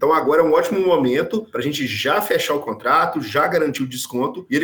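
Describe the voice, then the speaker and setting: A man speaks very fast in a fairly high voice, with noticeable background noise around him. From Brazil, Minas Gerais. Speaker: energy company sales director. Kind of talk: podcast interview.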